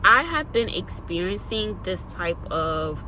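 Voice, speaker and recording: A woman talks at a very slow pace. The recording has audible room echo and noticeable background noise. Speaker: lifestyle vlogger. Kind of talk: personal testimony. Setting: recording between school and home.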